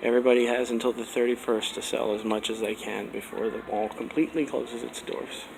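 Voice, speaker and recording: A man with an American accent, very fast and with hardly any pauses, over noticeable background noise. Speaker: mall explorer vlogger. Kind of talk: walkthrough narration. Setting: indoors in a nearly empty mall.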